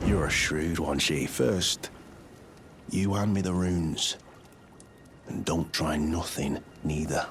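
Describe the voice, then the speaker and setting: A man puts on a gruff character voice with a very deep, low pitch and fairly even intonation, speaking at a fairly slow pace. Long, frequent pauses break it up against clear background noise. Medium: video game. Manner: gruff, menacing.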